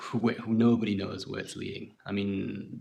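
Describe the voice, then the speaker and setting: Vocal fry at a moderate pace with fairly even intonation. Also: man. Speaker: podcast host. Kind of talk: casual podcast monologue. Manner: hesitant, halting.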